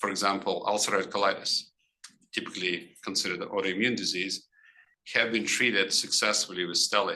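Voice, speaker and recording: Speaking at a very fast pace yet with long, frequent pauses, a man delivers a monotone, flat line in a fairly low pitch with a bright, sharp tone. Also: very even loudness. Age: 60s. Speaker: physician lecturer. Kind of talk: lecture. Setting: grand rounds presentation. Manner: halting.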